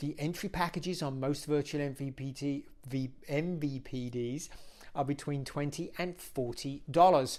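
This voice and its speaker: In a very clean recording with a silent background, a man with a British accent speaks at a moderate pace, his fairly high pitch carried on fairly even intonation. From UK. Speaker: media industry analyst. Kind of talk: solo commentary video.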